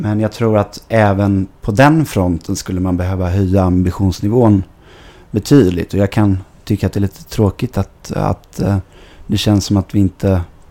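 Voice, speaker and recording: The recording is dry and close with no echo, capturing a man's fairly low, dark, mellow voice with ordinary pitch variation. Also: moderate pace. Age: 20s. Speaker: football club board member. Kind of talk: podcast interview. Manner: hesitant, many fillers.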